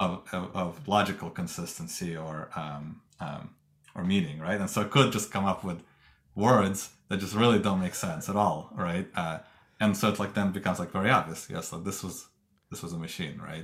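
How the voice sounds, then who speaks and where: Very deep, low male pitch, varying in an ordinary way, at moderate speed. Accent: Russian. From Russia. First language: Russian. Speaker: tech company co-founder and engineering executive. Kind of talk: interview. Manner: hesitant, many fillers.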